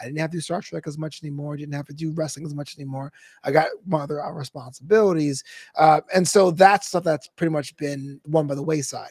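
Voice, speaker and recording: Somewhat breathy and very fast, a man speaks at a fairly high pitch with big swings in loudness. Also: dry, close sound with no echo. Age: 30s. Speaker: esports commentator and comedian. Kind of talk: interview. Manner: animated.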